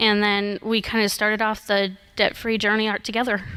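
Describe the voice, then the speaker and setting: A woman's fairly high voice at a moderate pace, bright and sharp in tone, with a slight Minnesota accent. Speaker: debt-free guest. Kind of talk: radio interview. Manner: hesitant, many ums.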